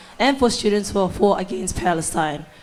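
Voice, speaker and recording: A woman talks over noticeable background noise. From Cook Islands. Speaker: student election candidate. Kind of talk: debate. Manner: halting.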